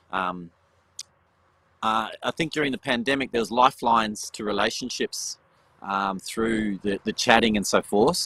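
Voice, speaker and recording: A man's medium-pitched voice with an Australian accent, bright, sharp tone and ordinary pitch variation, dry and close with no echo. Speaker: education panelist. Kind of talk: panel discussion. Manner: fast.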